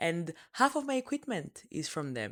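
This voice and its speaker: A woman with a non-native accent speaks in a very clean recording with a silent background. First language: French. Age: 20s. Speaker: podcast host. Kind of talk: casual solo podcast talk.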